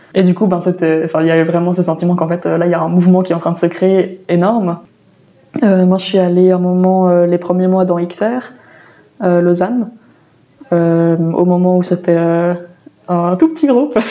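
Against noticeable background noise, the speech moves at a fairly slow pace with long, frequent pauses, fairly even intonation and very even loudness. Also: woman, fairly low pitch for a woman. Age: 20s. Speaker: climate activist. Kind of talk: interview.

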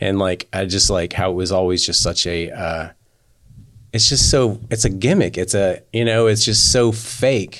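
This man has an unremarkable speaking voice with an American accent, pitched fairly low. He talks at a moderate pace with ordinary pitch variation. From western Oklahoma. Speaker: business owner. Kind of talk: casual interview.

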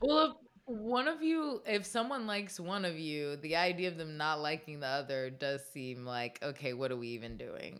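A woman speaks at a moderate pace with hardly any pauses, in a very deep, low pitch with very wide pitch swings. Noticeable background noise is present. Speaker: podcast host. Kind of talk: casual chat. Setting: video call.

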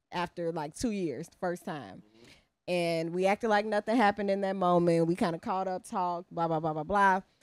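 A woman with a normal speaking voice, fairly low pitch, and fairly even intonation, in a dry, close sound with no echo. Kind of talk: casual chat.

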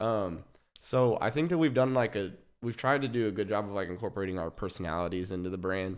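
A man with an American accent talks at a very fast pace, his fairly low pitch showing ordinary variation. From Kansas City area, US Midwest. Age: 20s. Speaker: DJ and event producer. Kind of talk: casual interview.

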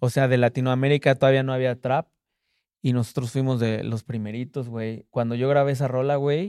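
A man's dark, mellow tone at a moderate pace, fairly even in intonation, with a dry, close sound and no echo. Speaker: rapper and music producer. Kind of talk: casual chat.

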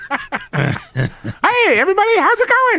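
A put-on character voice at an extremely high pitch and a fairly slow pace. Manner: cartoonish, cheerful.

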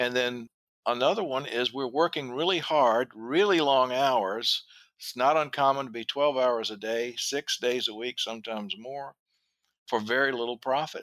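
A man with a normal speaking voice, medium pitch and ordinary pitch variation at a moderate pace, dry and close with no echo, on a very clean recording with a silent background. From US South. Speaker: business consultant, retired door dealer. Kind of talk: interview.

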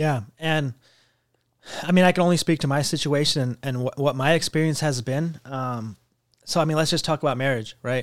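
A man with a normal speaking voice, fairly high in pitch, with ordinary pitch variation and a moderate pace. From US, Pakistani immigrant family. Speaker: mental health professional. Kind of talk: casual chat.

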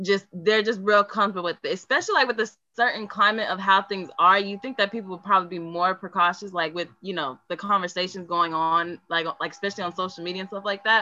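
A woman's medium-pitched voice at a very fast pace, with fairly even intonation and hardly any pauses. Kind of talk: casual group discussion.

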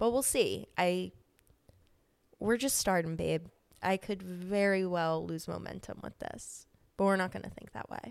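Lively intonation from a woman at a medium pitch. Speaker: podcaster. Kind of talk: solo podcast monologue. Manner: self-deprecating, casual.

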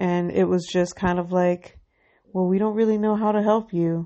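At a moderate pace, a woman with an ordinary speaking voice talks at a fairly low pitch with fairly even intonation. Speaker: spiritual podcast host. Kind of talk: personal testimony monologue.

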